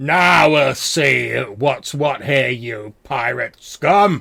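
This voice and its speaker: A man puts on a raspy character voice at a medium pitch. He speaks at a very slow pace. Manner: challenging, dramatic.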